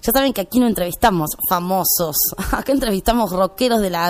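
At a fairly quick pace, a woman of medium pitch and ordinary pitch variation speaks in an unremarkable speaking voice. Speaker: radio host. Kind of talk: radio show.

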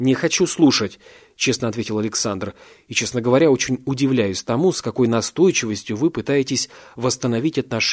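The voice reads aloud in an unforced manner.

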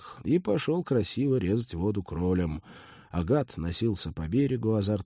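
Someone simply reads text aloud. The voice rises and falls in a lively way.

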